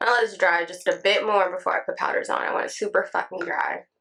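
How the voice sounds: A woman puts on a character voice at a very fast pace. Her sound is hoarse and raspy.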